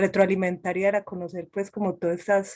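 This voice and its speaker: In an Antioquian accent, a woman talks at a medium pitch. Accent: eastern Antioquia Colombian. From Antioquia, Colombia. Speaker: session participant. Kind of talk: online panel discussion.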